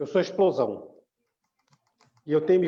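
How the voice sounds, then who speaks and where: A man is talking. His tone is dark and mellow. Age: 60s. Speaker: church group member. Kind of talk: casual chat.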